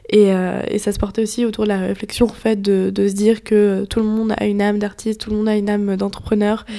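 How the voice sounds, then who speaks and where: Noticeable background noise sits behind a woman talking at a very fast pace with hardly any pauses. Her pitch is medium and her intonation monotone and flat. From western France, near Nantes. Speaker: podcast co-host, entrepreneur. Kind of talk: casual chat.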